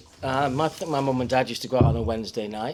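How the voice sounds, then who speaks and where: A man amid noticeable background noise. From Kidsgrove area, Staffordshire, England. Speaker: local resident sharing memories. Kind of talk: casual talk to audience.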